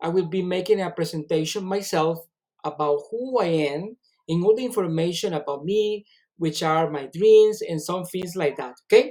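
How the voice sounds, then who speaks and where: This man's voice sits high in pitch yet carries a dark, mellow tone. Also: ordinary pitch variation, moderate pace. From Colombia, Caribbean coast (Cartagena). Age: 30s. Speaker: English teacher. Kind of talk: job interview self-presentation. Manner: halting, with fillers and self-corrections.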